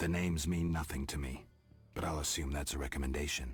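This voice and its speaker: A man growls in a put-on character voice at a very deep, low pitch. He talks at a very fast pace. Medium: video game. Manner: terse, dry.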